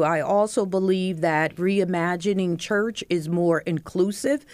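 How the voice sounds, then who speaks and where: A woman with an American accent speaks at a fairly slow pace in an unremarkable speaking voice, her medium pitch carried by fairly even intonation. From eastern Pennsylvania (Bethlehem). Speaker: pastor. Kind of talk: panel discussion. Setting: studio.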